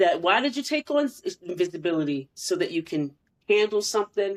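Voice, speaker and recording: A woman's medium-pitched voice at a moderate pace, with very wide pitch swings. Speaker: podcast co-host. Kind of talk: casual chat.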